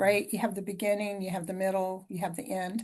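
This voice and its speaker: A woman speaks at a medium pitch in a somewhat breathy voice. The background is quiet. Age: 60s. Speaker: storyteller, songwriter and hypnotherapist. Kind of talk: podcast interview.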